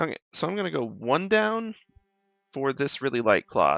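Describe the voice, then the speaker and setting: A man with a slight Southern US accent, fairly slow in pace and with very wide pitch swings. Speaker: art streamer. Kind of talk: casual live-stream chat while drawing. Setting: live stream.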